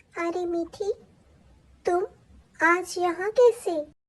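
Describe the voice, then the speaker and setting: Extremely high in pitch, a woman performs a cartoonish character voice. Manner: calm, reassuring.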